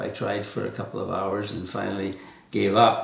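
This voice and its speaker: Here a man talks at a moderate pace. Noticeable background noise runs under his voice. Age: 80s+. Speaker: volunteer youth mentor, wood turning. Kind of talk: testimonial talk to camera. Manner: hesitant, many fillers.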